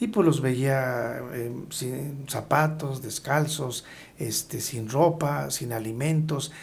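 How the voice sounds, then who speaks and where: A man's fairly high-pitched, somewhat breathy voice, dark and mellow in tone, with ordinary pitch variation. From Hidalgo, Mexico. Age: 60s. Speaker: agrarian government official. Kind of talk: interview.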